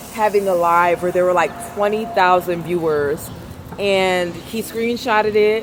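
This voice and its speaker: A woman speaks loud at a moderate pace, with ordinary pitch variation. Noticeable background noise can be heard. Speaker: vlogger. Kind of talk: casual vlog monologue. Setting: outdoors in the city. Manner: soft-spoken; trying to talk louder.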